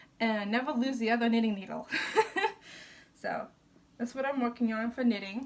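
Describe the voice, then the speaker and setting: Noticeable background noise sits behind a woman's voice. Her pitch is fairly high, with ordinary pitch variation. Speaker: crafting vlogger. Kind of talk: casual show-and-tell vlog.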